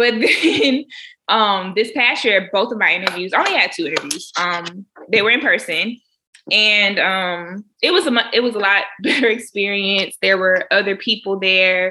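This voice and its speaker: A woman speaks in a normal speaking voice at a moderate pace with a medium pitch. Her loudness stays very even, and her pitch varies in an ordinary way. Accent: American. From Florida (Jacksonville). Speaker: dentist. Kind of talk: interview.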